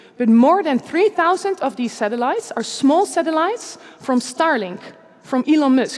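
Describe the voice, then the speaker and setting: A woman talks in a high pitch with very wide pitch swings. Noticeable background noise runs underneath. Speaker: scientist and science speaker. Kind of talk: conference talk. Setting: stage with audience in a church. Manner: fast; casual, some stumbling.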